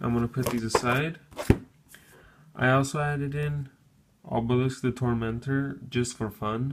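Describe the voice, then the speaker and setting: A man at a medium pitch with fairly even intonation, a moderate pace, long, frequent pauses and noticeable background noise. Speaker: gaming YouTuber. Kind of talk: tutorial.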